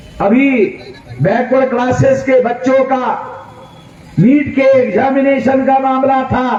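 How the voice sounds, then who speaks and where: A man speaks in an extremely high pitch with a monotone, flat intonation and long, frequent pauses. Noticeable background noise and audible room echo fill the recording. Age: 60s. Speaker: political activist leader. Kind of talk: political rally speech. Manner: loud, emphatic oratory.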